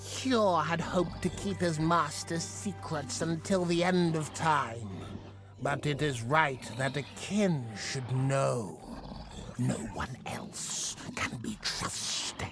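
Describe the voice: Over clear background noise, a man uses a cartoonish character voice, pitched fairly high and delivered very slowly.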